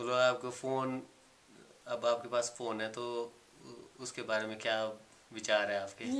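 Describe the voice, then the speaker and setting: A man's medium-pitched voice stays monotone, with flat intonation. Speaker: interpreter.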